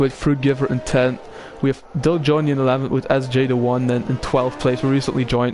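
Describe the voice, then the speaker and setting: With a slight British accent, a man speaks in a monotone, flat intonation at very even loudness while music plays in the background. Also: medium pitch for a man. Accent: slight British-sounding. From Belgium. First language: Dutch. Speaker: sim racing commentator and streamer. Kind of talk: casual chat with stream viewers; live commentary. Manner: halting, with many fillers.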